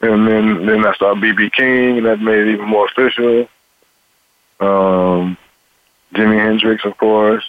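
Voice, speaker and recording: Fairly slow delivery in an American accent, with very even loudness, monotone, flat intonation and long, frequent pauses. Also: man, fairly low pitch for a man. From Cincinnati, Ohio, US Midwest. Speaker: musician, guitarist and vocalist. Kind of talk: interview.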